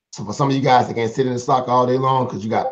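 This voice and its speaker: A man at a medium pitch, talking at a very fast pace, with audible room echo. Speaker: stock trading mentor. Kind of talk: live-streamed trading lesson. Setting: live stream. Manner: casual, repetitive explaining.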